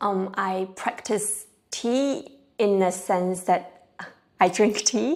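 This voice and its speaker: Very slowly, a woman speaks. Her pitch variation is ordinary. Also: medium pitch for a woman. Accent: Chinese. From China. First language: Chinese. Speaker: tea practitioner. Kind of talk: interview answer.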